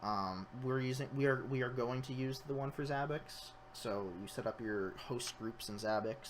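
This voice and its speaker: Hardly pausing, a man speaks at a medium pitch. His pitch variation is ordinary. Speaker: sysadmin presenter. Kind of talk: webinar tutorial. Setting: live stream. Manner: fast; halting, many filler words and repeats.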